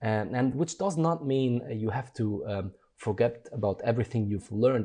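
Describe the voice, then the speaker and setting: A somewhat breathy man's voice at medium pitch, dark and mellow in tone, with ordinary pitch variation, a moderate pace and a quiet background. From Germany. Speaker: design educator. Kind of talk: interview. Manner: hesitant, many fillers.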